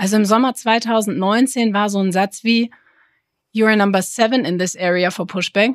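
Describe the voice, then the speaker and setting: An unremarkable speaking voice from a woman at medium pitch, moderate pace and fairly even intonation. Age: 30s. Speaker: apron controller. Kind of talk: casual interview.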